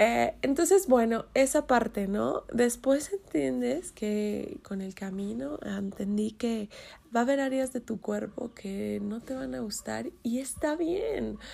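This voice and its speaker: Very slowly, a woman talks with a Mexican accent, her loudness swinging widely. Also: very clean recording, silent background. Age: 30s. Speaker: podcast host. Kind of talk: casual monologue. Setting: in bed.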